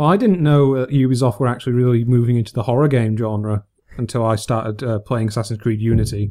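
A man with a northern English accent talks at a very fast pace. His voice has a dark, mellow tone, medium pitch, and ordinary pitch variation. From northern England. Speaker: gaming podcast host. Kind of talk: casual chat.

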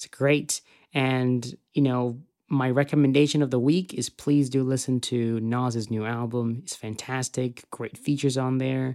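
A man's dark, mellow tone at medium pitch, monotone and flat in intonation, at a fairly slow pace. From Zimbabwe. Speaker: podcast host and aspiring filmmaker. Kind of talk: solo podcast monologue. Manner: hesitant, with fillers and repeated words.

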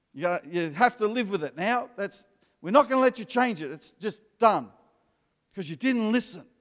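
A man's high-pitched voice at a moderate pace, with lively intonation and big swings in loudness. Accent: Australian. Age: 50s. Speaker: pastor. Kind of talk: sermon.

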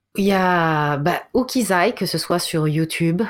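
This is a woman speaking. Her pitch varies an ordinary amount. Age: 40s. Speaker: author and speaker. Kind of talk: interview.

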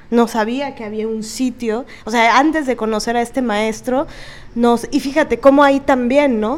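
Noticeable background noise sits behind a woman with a high pitch. She talks at a moderate pace with fairly even intonation. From Veracruz, Mexico. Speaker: podcast co-host, theater actress. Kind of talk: casual chat.

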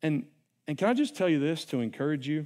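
A man with a slight Southern US accent speaks with lively intonation. The recording is very clean, with a silent background. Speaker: preacher. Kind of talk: sermon. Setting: church. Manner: casual, conversational.

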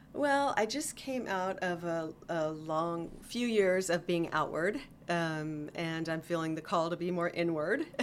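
Hers is an ordinary speaking voice, a woman at fairly low pitch talking at a fairly slow pace with ordinary pitch variation and hardly any pauses. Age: 50s. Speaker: clinical herbalist. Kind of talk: casual interview.

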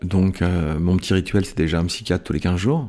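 A man's very deep, low voice with a dark, mellow tone and ordinary pitch variation, on a very clean recording with a silent background. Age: 50s. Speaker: events and live performance worker sharing life story. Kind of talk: personal testimony. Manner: halting, with frequent hesitations.

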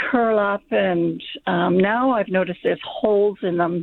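Speaking very slowly, a woman uses a medium pitch with ordinary pitch variation. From Armadale, Western Australia. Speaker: caller. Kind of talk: call-in question. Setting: phone call.

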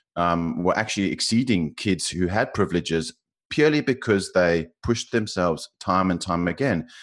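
In a South African accent, a man speaks at a moderate pace with a very deep, low pitch against a quiet background. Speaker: financial modeler. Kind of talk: interview. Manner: halting.

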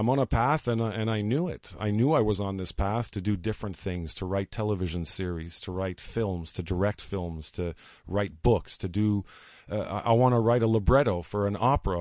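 Speaking at a fairly quick pace, a man with an unremarkable speaking voice uses a fairly low pitch and ordinary pitch variation against a quiet background. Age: 40s. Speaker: storyteller and marketing entrepreneur. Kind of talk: radio interview. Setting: studio.

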